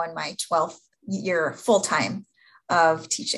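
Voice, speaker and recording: A woman with a fairly low voice and an Upper Midwest US accent, with ordinary pitch variation. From Upper Peninsula of Michigan. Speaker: event management instructor. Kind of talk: podcast interview.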